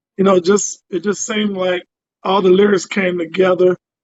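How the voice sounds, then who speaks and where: Over music in the background, a man talks in a high voice for a man with monotone, flat intonation. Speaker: musician and producer. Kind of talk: interview. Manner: hesitant, many fillers.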